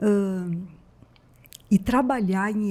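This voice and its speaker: A woman speaks in a dark, mellow tone that is somewhat breathy. The recording is very clean, with a silent background. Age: 60s. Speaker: psychologist. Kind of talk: casual interview.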